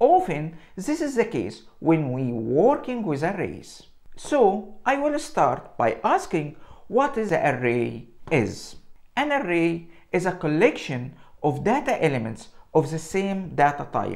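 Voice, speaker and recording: A man speaks at a high pitch and a fairly slow pace. His pitch swings very widely against a quiet background. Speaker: presenter. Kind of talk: tutorial. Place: home room. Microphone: lapel.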